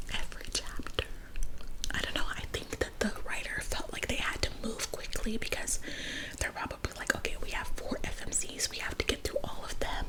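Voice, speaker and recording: Through clearly audible background noise, a woman whispers at an average speed. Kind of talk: whispered book review ramble to camera. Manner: whispered, casual, opinionated.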